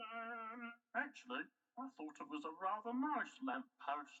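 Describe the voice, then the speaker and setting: Fairly slow delivery in a cartoonish character voice. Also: female-sounding voice, fairly high pitch for a woman. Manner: hesitant, lots of um.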